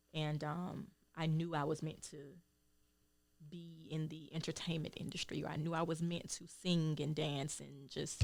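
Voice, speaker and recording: In a Southern US accent, the voice carries vocal fry and a monotone, flat intonation at a moderate pace. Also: woman. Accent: Southern, noticeable. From Georgia, US South. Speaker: singer and healer. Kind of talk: interview. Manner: hesitant, many ums.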